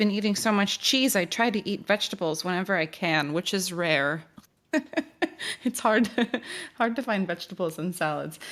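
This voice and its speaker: A woman's medium-pitched, an unremarkable speaking voice with an American accent and lively intonation, on a very clean recording with a silent background. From United States. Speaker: singer. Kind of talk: casual chat.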